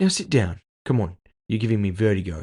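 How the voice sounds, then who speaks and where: A man puts on a raspy character voice with a fairly low pitch. He talks at a fairly quick pace. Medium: read story. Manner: sarcastic, teasing.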